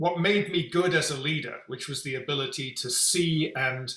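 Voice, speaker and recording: A man with a London accent talks at a fairly slow pace. His voice is fairly high in pitch with a bright, sharp tone. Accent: British (London). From England, London. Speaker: executive coach and company founder. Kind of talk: interview.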